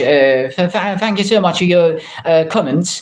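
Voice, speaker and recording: The intonation rises and falls in a lively way. Background noise is noticeable. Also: man. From Turkey, Şanlıurfa. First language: Turkish. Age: 20s. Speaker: language teacher. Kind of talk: livestream chat with viewers. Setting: live stream. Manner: halting, many fillers.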